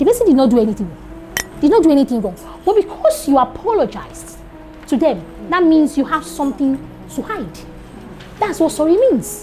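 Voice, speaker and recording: A woman with a Nigerian accent talks at a fairly quick pace in a high voice with very wide pitch swings, music playing in the background. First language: Yoruba. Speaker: teacher trainer. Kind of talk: lecture.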